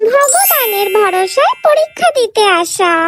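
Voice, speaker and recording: A woman puts on a squeaky character voice at an extremely high pitch, speaking at a fairly slow pace with lively intonation. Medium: voice reel. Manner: announcing.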